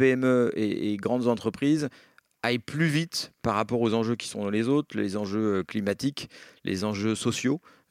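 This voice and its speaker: The sound is dry and close, with no echo. This man holds a medium pitch that varies in an ordinary way. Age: 40s. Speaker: real estate company director. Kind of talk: interview. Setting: office. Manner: hesitant, many fillers.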